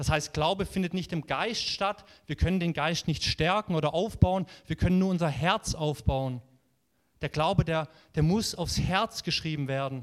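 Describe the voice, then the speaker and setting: Here a man talks at a moderate pace in a fairly high pitch with ordinary pitch variation. His tone is animated and warm. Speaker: preacher. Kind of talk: sermon. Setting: church. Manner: animated, warm and encouraging, preaching with conviction; conversational, with occasional filler words and self-corrections.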